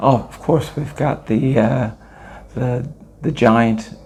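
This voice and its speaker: Speaking very slowly with a Californian accent, a man uses ordinary pitch variation. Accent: American, California. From Los Angeles, California. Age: 60s. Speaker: former professional basketball player. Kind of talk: interview. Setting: on location at a tournament in Italy.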